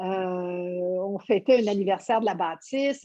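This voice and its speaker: A woman at a medium pitch, with ordinary pitch variation, speaks in a plain, everyday voice. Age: 60s. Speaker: yoga teacher. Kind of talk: interview.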